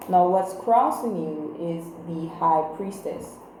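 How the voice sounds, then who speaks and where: A woman's fairly low voice comes through with noticeable background noise and audible room echo. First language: Creole. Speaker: tarot reader. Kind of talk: tarot reading. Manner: casual, conversational with fillers.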